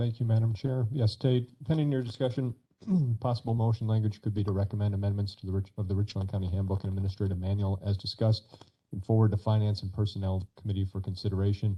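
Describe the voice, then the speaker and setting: A man speaks very fast in a dark, mellow tone that is somewhat breathy, his intonation fairly even. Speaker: county administrator. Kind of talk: committee meeting presentation.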